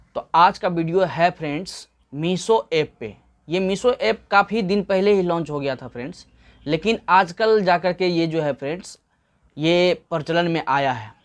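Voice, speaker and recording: A high-pitched man at a fairly slow pace with ordinary pitch variation against a quiet background. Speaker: online earnings youtuber. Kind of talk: tutorial. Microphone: lapel.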